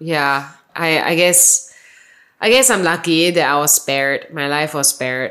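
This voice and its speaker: With a Singaporean accent, a woman talks in a very deep, low voice with lively intonation. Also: moderate pace. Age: 30s. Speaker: marketing manager. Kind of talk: casual chat. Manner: varied intonation.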